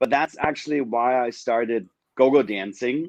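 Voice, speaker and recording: In a German accent, a man speaks at a moderate pace with a medium pitch and fairly even intonation. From Germany, small town. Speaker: adult film performer and musical creator. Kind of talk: casual video interview.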